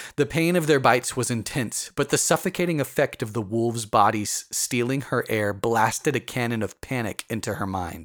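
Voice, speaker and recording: This man has an unremarkable speaking voice at a medium pitch. He talks at a moderate pace with lively intonation. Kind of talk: dramatic narration of a horror story, read aloud. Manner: tense, urgent, vividly expressive, building suspense.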